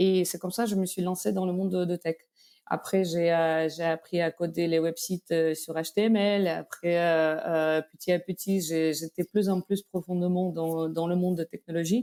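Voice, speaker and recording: Dry and close with no echo, a woman's fairly low, dark, mellow voice comes through with a Belarusian accent. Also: fairly even intonation, moderate pace. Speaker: tech company executive. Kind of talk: interview. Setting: podcast. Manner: hesitant, many fillers.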